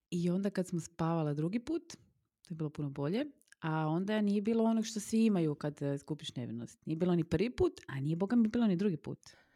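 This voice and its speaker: In a dry, close recording with no echo, a woman speaks very fast in a fairly low pitch, her tone dark and mellow and her intonation lively. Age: 40s. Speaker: podcast co-host. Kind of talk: casual chat.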